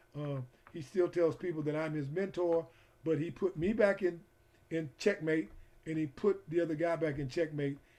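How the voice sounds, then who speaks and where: With an American accent, a man speaks at a fairly high pitch in a dark, mellow tone. His intonation stays fairly even. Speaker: football coach educator and referee. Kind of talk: online coaching lecture. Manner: fast.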